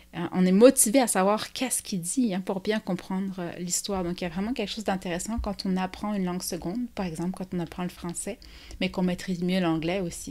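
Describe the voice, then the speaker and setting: A woman speaks at medium pitch in a dark, mellow tone, with fairly even intonation and a fairly quick pace. The recording is very clean with a silent background. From France. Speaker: children's literature book reviewer. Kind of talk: book review vlog. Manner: hesitant, many fillers.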